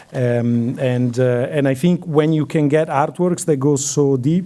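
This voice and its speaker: Speaking with an Italian accent, a man shows ordinary pitch variation. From Italy. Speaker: curator. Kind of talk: lecture Q&A. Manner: hesitant, many fillers.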